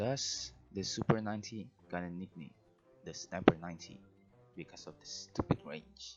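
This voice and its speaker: With music in the background, a man with a non-native accent speaks in a very deep, low voice. His loudness swings widely, and he leaves long, frequent pauses. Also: ordinary pitch variation, moderate pace. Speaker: gaming video creator. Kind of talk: scripted narration.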